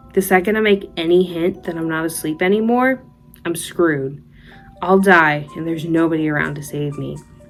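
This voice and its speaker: A woman speaks at a moderate pace with a fairly low pitch and ordinary pitch variation. Music plays in the background. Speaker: horror storyteller and college student. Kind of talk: scary story reading.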